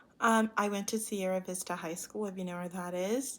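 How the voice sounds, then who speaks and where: The speaker is a woman with an American accent. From US South. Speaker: university student. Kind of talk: self-introduction monologue. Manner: casual with many fillers.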